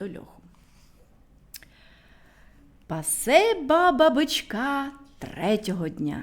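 She speaks at a fairly high pitch, her voice making very wide pitch swings.

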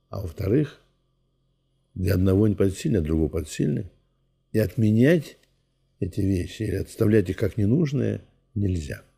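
A man's dark, mellow tone with vocal fry, lively intonation and long, frequent pauses against a quiet background. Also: fairly low pitch for a man, moderate pace. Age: 80s+. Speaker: Orthodox priest. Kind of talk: interview. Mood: calm, reflective. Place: home room.

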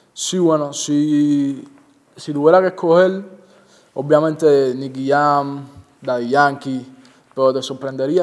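Very slow speech from a man, fairly high-pitched, with ordinary variation in pitch. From Cuba, Santa Clara; Cuba. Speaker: reggaeton singer and songwriter; interviewee. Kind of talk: interview. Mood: relaxed, friendly. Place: home room.

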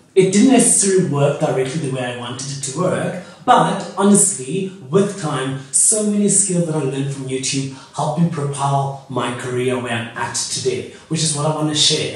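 At a moderate pace, a man talks with hardly any pauses amid strong room echo. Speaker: YouTuber. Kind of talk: casual vlog chat. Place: home room. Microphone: camera far.

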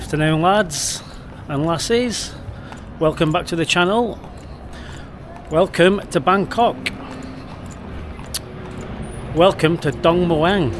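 Noticeable background noise sits behind a man's voice. His pitch is high, with ordinary variation. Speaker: travel vlogger. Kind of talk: casual vlog chat. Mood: upbeat and cheerful. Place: street. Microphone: phone near.

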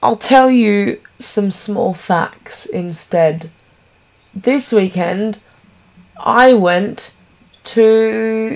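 With an Australian accent, a woman of medium pitch and ordinary pitch variation speaks at a very slow pace with long, frequent pauses. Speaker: vlogger. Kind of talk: casual vlog monologue.

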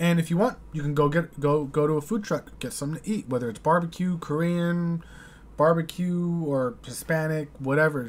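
Here a man with a fairly high pitch talks at a moderate pace and ordinary pitch variation. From United States. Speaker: YouTube reaction host. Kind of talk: casual reaction commentary. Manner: hesitant, filler-heavy. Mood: thoughtful, puzzled. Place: home room. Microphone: studio mic.

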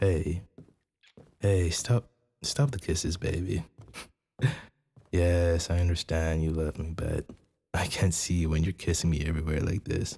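Very deep and low, a man's dark, mellow, somewhat breathy voice moves at a fairly slow pace with long, frequent pauses. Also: ordinary pitch variation. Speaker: ASMR roleplay performer. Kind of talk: ASMR boyfriend roleplay. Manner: soft-spoken, caring.

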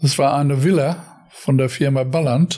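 A man talks at a fairly slow pace. Noticeable background noise runs under his voice. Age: 80s+. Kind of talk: interview answer.

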